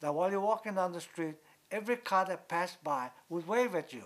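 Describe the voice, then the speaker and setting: With a Hawaiian accent, a man speaks at a moderate pace in a high pitch with lively intonation. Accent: Hawaii local English. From Hawaii, Lanai. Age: 80s. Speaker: oral history interviewee. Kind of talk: oral history interview.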